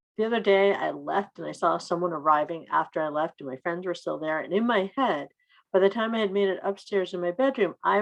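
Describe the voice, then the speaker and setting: Soft-spoken and at a medium pitch, a woman talks at a fairly quick pace with lively intonation. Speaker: poet. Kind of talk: casual chat.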